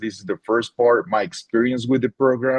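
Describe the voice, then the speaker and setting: A man is speaking. He has a Spanish accent. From Colombia (Tunja). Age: 30s. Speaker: teacher. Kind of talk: webinar presentation. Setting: online webinar.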